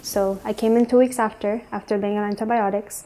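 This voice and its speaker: Her medium-pitched voice has a dark, mellow tone and a Spanish accent, and the woman speaks at a fairly quick pace in a monotone, flat intonation. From Ecuador, moved to US at age 9. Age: 20s. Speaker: student sharing personal story. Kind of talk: personal testimony. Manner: hesitant, many fillers.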